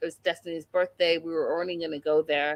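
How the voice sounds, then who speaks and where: In an American accent, a woman talks with an animated tone. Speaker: YouTube recap show host. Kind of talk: casual chat recapping a TV episode.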